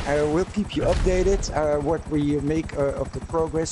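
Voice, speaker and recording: A man with a Dutch accent and a fairly high pitch, ordinary pitch variation, a moderate pace, and noticeable background noise. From Netherlands. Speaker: gaming mystery channel host. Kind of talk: live stream outro, casual chat. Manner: halting, many fillers.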